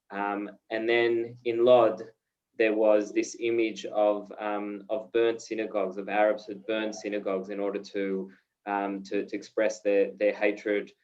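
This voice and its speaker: Fairly low-pitched male speech in an Australian accent, at a fairly slow pace with monotone, flat intonation. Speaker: peace education director and journalist. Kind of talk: video call talk. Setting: video call. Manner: hesitant, many fillers.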